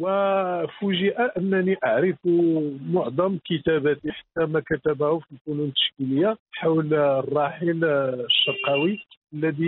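A man with a fairly high voice speaks very slowly. His pitch rises and falls in an ordinary way. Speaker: novelist and writer. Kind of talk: interview, reminiscing.

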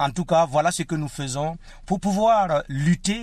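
A man at a very slow pace, ordinary pitch variation, quiet background. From Burkina Faso. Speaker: storyteller. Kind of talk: interview.

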